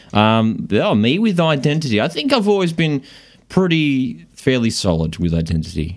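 Keeping a very even loudness, a man at a medium pitch makes very wide pitch swings. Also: moderate pace. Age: 20s. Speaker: podcast co-host. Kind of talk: casual chat. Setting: studio.

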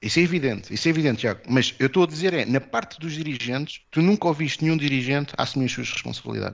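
A man talks at a very fast pace. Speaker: football podcast guest. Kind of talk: casual football analysis chat.

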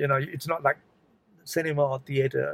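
A man with a fairly high pitch speaks at a fairly quick pace, somewhat breathy, in a dry, close sound with no echo. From Malaysia. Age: old. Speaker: retired drama professor. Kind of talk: casual interview.

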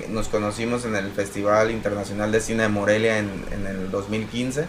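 Noticeable background noise can be heard. Through it, a man talks. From Mexico, Apatzingán, Michoacán. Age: 30s. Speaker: actor and comedian. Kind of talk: casual chat.

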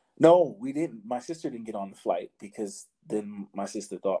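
On a very clean recording with a silent background and a dry, close sound with no echo, a man with a New York accent speaks at a moderate pace in a dark, mellow tone with ordinary pitch variation. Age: 30s. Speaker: podcaster. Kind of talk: casual chat.

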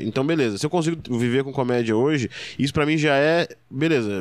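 In a normal speaking voice, a man speaks at a moderate pace and medium pitch with lively intonation, on a very clean recording with a silent background. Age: 20s. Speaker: stand-up comedian. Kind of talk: casual interview chat.

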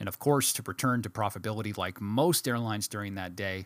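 Talking at a very fast pace, a man with an American accent and a fairly low voice speaks in an animated tone. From US Midwest, Milwaukee, Wisconsin. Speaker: podcast host. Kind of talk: solo podcast monologue.

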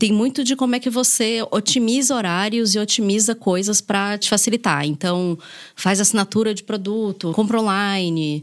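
A woman with an unremarkable speaking voice talks at a moderate pace, medium in pitch and with ordinary pitch variation. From Brazil, Salvador (Bahia). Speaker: content creator and single mother. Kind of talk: casual chat.

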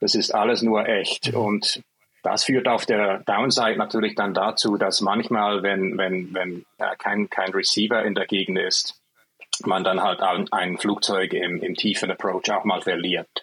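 A man speaks at a fairly low pitch and a fairly slow pace. His intonation stays fairly even, and his loudness is very even. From Switzerland. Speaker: software developer, physicist. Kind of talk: interview. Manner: halting, with repetitions.

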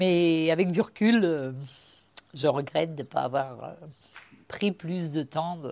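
Her pitch very deep and low, a woman speaks at a very slow pace with ordinary pitch variation and long, frequent pauses. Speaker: grandparent sharing family memories. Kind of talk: testimony.

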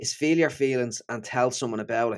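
A man with a Dublin accent, medium pitch and ordinary pitch variation, at a fairly quick pace. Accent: Dublin Irish. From Ireland, Dublin. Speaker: neuroscientist and author. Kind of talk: interview conversation.

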